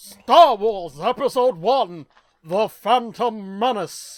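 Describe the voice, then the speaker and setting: A female-sounding voice puts on a character, pitched fairly high. She speaks at a very slow pace. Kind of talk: announcer voice. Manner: dramatic, announcer-like.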